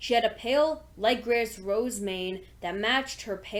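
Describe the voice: Plain reading aloud, pitch varying an ordinary amount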